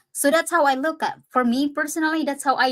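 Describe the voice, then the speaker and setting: A woman with a Filipino accent. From Philippines. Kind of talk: casual chat.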